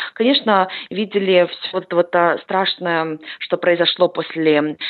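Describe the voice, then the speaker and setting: The woman's speech, fairly slow, carries ordinary pitch variation. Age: 20s. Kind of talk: interview. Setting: Skype call.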